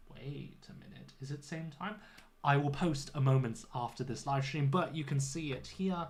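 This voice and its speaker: Somewhat breathy, a man with a British accent speaks in a room with audible echo, his loudness swinging widely. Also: fairly high pitch for a man, ordinary pitch variation, moderate pace. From UK. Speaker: English teacher. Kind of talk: livestream lesson chat. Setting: home studio livestream. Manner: clear teacher voice.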